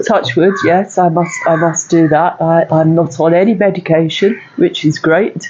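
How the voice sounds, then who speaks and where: The speaker keeps a very even loudness and leaves hardly any pauses. Noticeable background noise sits behind the voice. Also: woman, fairly low pitch for a woman, fairly even intonation. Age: 60s. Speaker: stand-up paddle boarder. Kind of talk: interview answer.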